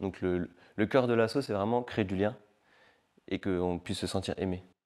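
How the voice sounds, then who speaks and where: Heard on a very clean recording with a silent background, the speaker goes at a moderate pace with ordinary pitch variation. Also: man, fairly low pitch for a man. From Paris region, northern suburbs (France). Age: 20s. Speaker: assistant pastor and refugee charity volunteer. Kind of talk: testimony interview. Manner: casual, hesitant with frequent fillers.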